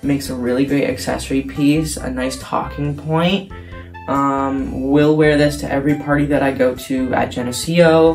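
The speaking pace is fairly slow. Behind it, music plays. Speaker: vlogger. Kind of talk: casual vlog chat. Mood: playful, joking. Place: bathroom. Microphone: phone near.

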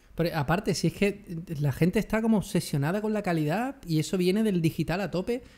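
A man with a high-pitched voice speaks at a very fast pace, his pitch rising and falling in an ordinary way. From Andalusia, Jerez de la Frontera (Cádiz); Andalusia. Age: 30s. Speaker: photography youtuber. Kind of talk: casual chat. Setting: video call. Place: home room. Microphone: studio mic.

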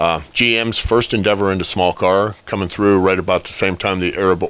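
A man with a fairly low pitch and a plain, everyday voice, ordinary pitch variation, a moderate pace, and a dry sound with no echo. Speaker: guest. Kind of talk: interview answer. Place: office. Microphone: handheld.

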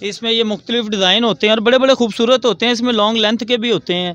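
A man speaks at a fast pace in a fairly bright tone.

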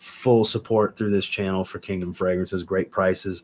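A very deep, low male voice, fairly slow in pace. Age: 30s. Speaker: fragrance reviewer and livestream host. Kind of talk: livestream chat. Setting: livestream. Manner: animated. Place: home room.

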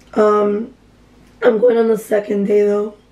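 A woman at a moderate pace, flat and monotone, with noticeable background noise. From Miami, Florida. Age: 20s. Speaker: vlogger. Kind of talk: casual vlog talk. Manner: casual, filler-heavy.

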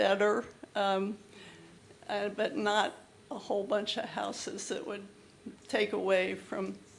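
Fairly slow delivery amid audible room echo. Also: woman. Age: 80s+. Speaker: resident speaking at public comment. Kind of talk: public comment at council meeting. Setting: council chamber with audience. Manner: halting.

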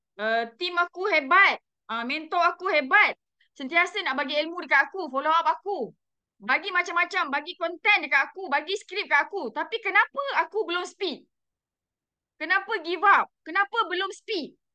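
Against a quiet background, a woman with an extremely high pitch and a bright, sharp tone raises and projects her voice, talking at a moderate pace with lively intonation. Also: dry sound with no echo. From Malaysia. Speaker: direct sales manager. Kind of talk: motivational talk. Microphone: video call.

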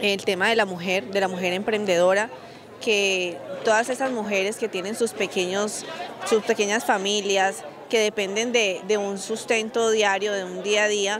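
A woman's fairly slow, fairly even delivery, dry with no echo, over crowd noise in the background. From Colombia, rural Valle del Cauca (Trujillo). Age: 20s. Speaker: local council candidate. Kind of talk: campaign interview. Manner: halting. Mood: earnest, promotional. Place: street. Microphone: handheld.

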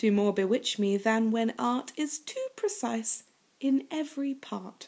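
A woman with a British accent at a fairly slow pace, lively in intonation, over a quiet background. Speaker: poetry reader and commentator. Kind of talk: poetry reading. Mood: playful, expressive. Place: home room. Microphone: webcam.

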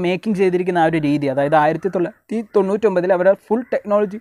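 A high-pitched man with ordinary pitch variation, in a dry, close sound with no echo. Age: 20s. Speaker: YouTuber, movie reviewer. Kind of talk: vlog-style movie recommendations.

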